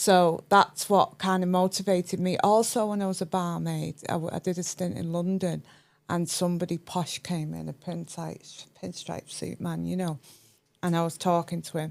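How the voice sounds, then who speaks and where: With a northern English accent, a woman talks at a moderate pace. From northern England, Cheshire. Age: 50s. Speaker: chartered accountant and entrepreneur. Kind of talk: podcast interview, personal story.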